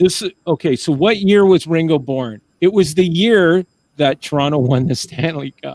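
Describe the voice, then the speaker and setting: A man with an ordinary speaking voice, fairly high in pitch, at a moderate pace, with a dry, close sound and no echo. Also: ordinary pitch variation. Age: 50s. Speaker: talk show host. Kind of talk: casual chat.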